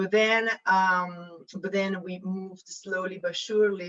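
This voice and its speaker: A woman with an Italian accent speaks at medium pitch. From Italy. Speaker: investment advisor. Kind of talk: panel self-introduction. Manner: hesitant, many fillers.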